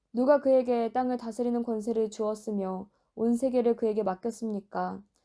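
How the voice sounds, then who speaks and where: Over a silent background in a very clean recording, a woman with a fairly high pitch and a dark, mellow tone speaks at a moderate pace with fairly even intonation. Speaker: Bible reader. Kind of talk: reading aloud. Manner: natural, unpolished reading.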